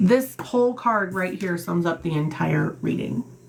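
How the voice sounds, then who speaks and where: Amid noticeable background noise, a woman speaks at a very slow pace with very wide pitch swings. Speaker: tarot reader. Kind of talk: tarot reading livestream. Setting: live stream. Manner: loud, animated.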